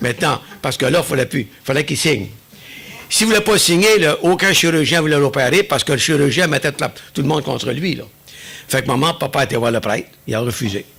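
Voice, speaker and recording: Over noticeable background noise, a man with an Acadian accent talks at a fairly high pitch with lively intonation. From New Brunswick, Acadia. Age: 70s. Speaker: churchgoer giving testimony. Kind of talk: testimony.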